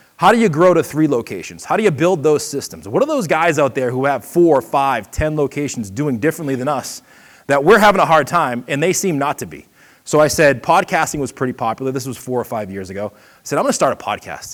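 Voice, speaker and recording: Lively intonation and a slight Boston accent mark this very fast delivery on a very clean recording with a silent background. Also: man, fairly high pitch for a man. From Boston area, US. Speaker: seminar presenter, marketing consultant and podcaster. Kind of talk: seminar talk. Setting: stage with audience at an expo.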